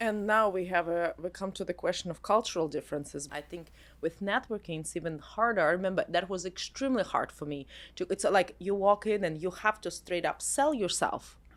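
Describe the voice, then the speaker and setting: On a very clean recording with a silent background, a woman of medium pitch talks at a fairly quick pace in an unremarkable speaking voice, with ordinary pitch variation. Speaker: podcast host. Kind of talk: interview questions.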